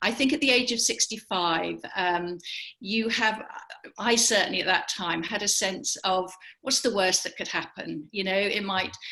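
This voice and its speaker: A woman's medium-pitched voice in an English accent, bright and sharp in tone, at a moderate pace. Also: ordinary pitch variation. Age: 70s. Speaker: business founder. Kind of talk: interview.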